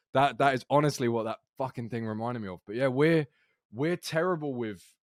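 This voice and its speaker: A man with a British accent speaks in an animated tone with ordinary pitch variation, on a very clean recording with a silent background and a dry, close sound with no echo. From Britain, outside London. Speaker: podcast co-host. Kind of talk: casual chat.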